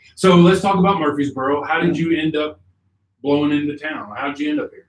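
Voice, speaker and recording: A man with a fairly high pitch speaks at a very fast pace with fairly even intonation. His loudness swings a lot. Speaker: interview show host. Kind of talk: casual interview. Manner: stutters at times.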